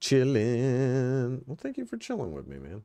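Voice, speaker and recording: A man speaks quietly, with a dry, close sound and no echo. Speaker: tech streamer. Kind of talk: casual livestream chat.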